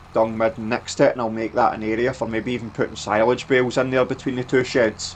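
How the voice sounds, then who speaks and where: A man's fairly quick, flat, monotone delivery at a medium pitch, with a Scottish accent. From Scotland. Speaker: gaming YouTuber. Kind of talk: gameplay commentary. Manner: casual, filler-heavy.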